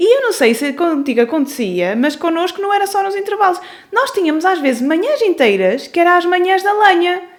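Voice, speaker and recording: Over noticeable background noise, a woman speaks fairly quickly at an extremely high pitch, her voice swinging very widely up and down. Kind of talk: casual podcast conversation.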